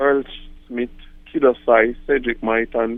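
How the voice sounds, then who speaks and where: A man with a Jamaican accent speaks at a fairly slow pace. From Jamaica, Kingston. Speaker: reggae artist. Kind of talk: interview.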